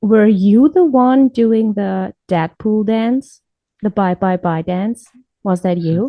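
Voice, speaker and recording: Speaking very slowly in a German accent, a woman uses a medium pitch with ordinary pitch variation. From Germany, Munich. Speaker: podcast co-host. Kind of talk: casual chat.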